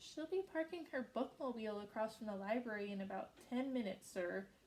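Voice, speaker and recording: A woman's squeaky, put-on character voice, fairly high-pitched, with a nervous tone, lively intonation and a fairly quick pace. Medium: read story. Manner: nervous, squeaky.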